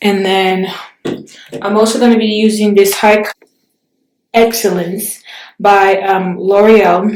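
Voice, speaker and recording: A woman's medium-pitched, monotone voice at a very slow pace, with long, frequent pauses and audible room echo. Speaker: beauty vlogger. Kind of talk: tutorial. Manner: casual, hesitant with fillers.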